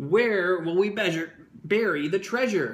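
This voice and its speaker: A man performs a put-on character voice at a high pitch. He is loud. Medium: read story. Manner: loud, pirate talk.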